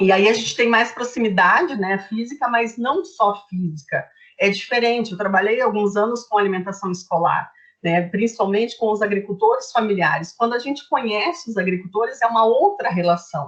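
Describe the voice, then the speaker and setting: A woman with a fairly high, somewhat breathy voice speaks with ordinary pitch variation. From southern Brazil, Curitiba. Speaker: nutritionist. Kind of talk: informal presentation in a livestream chat. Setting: online livestream. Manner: fast.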